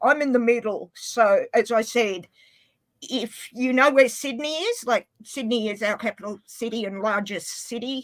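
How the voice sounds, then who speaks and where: Speaking in an Australian accent, a woman has a fairly high pitch with ordinary pitch variation. Her pace is fairly slow. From Australia, Inverell, northern New South Wales. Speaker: livestream guest. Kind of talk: casual chat.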